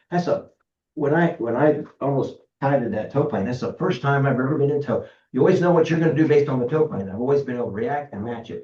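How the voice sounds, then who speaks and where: A man's very fast, somewhat breathy delivery, fairly high in pitch, with a dark, mellow tone and ordinary pitch variation. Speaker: glider pilot giving safety talk. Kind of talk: club meeting presentation.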